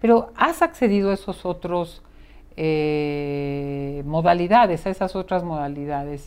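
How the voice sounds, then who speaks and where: A woman talks at a fairly slow pace in a plain, everyday voice, fairly low in pitch with ordinary pitch variation, against a quiet background. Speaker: psychotherapist and podcast host. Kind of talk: conversational interview.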